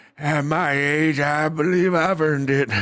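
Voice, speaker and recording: A man puts on a character voice, fairly high in pitch. He speaks at a moderate pace with fairly even intonation. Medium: read story. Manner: gruff, contemptuous.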